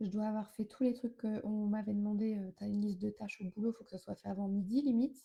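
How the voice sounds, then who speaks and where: A woman's somewhat breathy, fairly high voice with a dark, mellow tone. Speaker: wellness coach. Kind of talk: live stream talk. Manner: fast; hesitant fillers.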